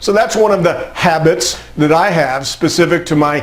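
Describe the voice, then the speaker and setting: Speech at a fairly quick pace with ordinary pitch variation comes through noticeable background noise and audible room echo. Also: man. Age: 60s. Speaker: motivational speaker. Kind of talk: motivational talk.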